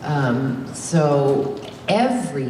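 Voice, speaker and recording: A woman with an American accent speaks in a very deep, low voice, with noticeable background noise and audible room echo. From Indianapolis, US Midwest. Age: 60s. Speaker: actress. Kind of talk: on-stage Q&A, casual. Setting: stage with audience. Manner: animated, halting with many fillers.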